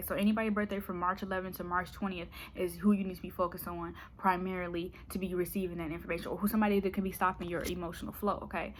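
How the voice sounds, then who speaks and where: At a very fast pace, a woman talks with fairly even intonation and a medium pitch. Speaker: tarot reader. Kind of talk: tarot reading monologue.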